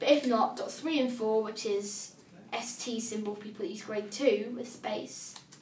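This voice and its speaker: With a British accent, a woman talks at a moderate pace and a fairly high pitch, her intonation fairly even. Her loudness swings a lot, and the recording carries audible room echo and light background noise. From UK. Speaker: assistive technology demonstrator; braille device user demonstrating. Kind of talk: tutorial. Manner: casual, hesitant with fillers. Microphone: phone near.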